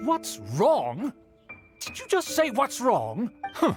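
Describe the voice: A man's put-on character voice, extremely high-pitched and slow, with very wide pitch swings, a slightly husky edge and faint music in the background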